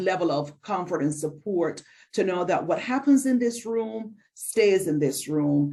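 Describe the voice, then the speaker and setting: A woman speaks with a Barbadian accent at a moderate pace. Her tone is dark and mellow, with ordinary pitch variation. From Barbados. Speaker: mental health counselor and presenter. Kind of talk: lecture. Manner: hesitant with frequent fillers.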